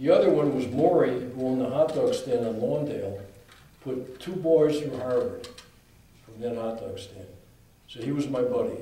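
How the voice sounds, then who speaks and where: An American-accented man at a moderate pace, with big swings in loudness, long, frequent pauses, noticeable background noise and audible room echo. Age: 70s. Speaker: author and speaker. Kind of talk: talk with Q&A.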